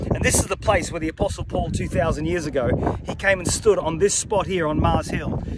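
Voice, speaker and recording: With loud background noise but a dry sound with no echo, a man talks at a fairly quick pace with ordinary pitch variation. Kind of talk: appeal message to a congregation. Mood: earnest, persuasive. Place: open country. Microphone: phone near.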